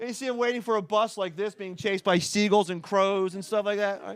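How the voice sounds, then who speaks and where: A man with a Philadelphia accent talks at a very fast pace. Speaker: stand-up comedian. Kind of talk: stand-up. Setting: stage with audience.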